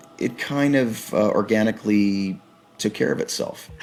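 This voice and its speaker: A man over noticeable background noise. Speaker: voice actor. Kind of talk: interview.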